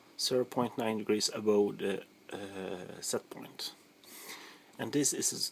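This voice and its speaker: Speaking with a Swedish accent, a man talks at a fairly slow pace in a fairly low pitch with ordinary pitch variation. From Sweden. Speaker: hobbyist sausage maker. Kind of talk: tutorial. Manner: halting.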